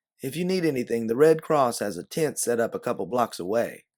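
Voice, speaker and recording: This is a put-on character voice, husky and in a Southern US accent. It moves at a fairly quick pace with lively intonation. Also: man, medium pitch for a man. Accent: Southern American drawl. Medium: read story. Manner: courteous.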